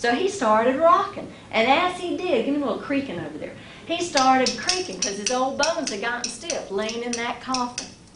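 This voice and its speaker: A woman with a high pitch talks at a fairly quick pace, her pitch swinging very widely. Her tone is upbeat, and there is noticeable background noise. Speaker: storyteller. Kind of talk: live storytelling performance. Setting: live audience. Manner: upbeat, humorous.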